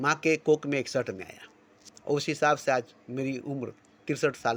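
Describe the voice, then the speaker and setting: Delivered at a moderate pace, a plain, everyday voice shows big swings in loudness. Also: man. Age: 60s. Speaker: spiritual speaker. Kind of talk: spiritual monologue. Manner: repetitive.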